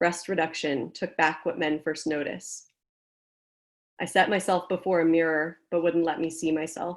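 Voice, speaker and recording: A woman's fairly low-pitched, monotone, flat voice at a fairly slow pace, on a very clean recording with a silent background. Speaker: poet, author. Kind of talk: poetry reading with chatty intros between poems.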